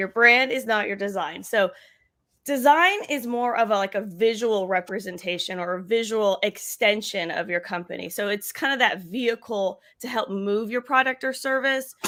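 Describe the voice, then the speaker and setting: The woman's voice is loud, bright and sharp, at a fairly high pitch with ordinary pitch variation. She keeps a moderate pace on a very clean recording with a silent background. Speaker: marketing show co-host. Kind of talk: casual live-stream chat. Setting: live video stream.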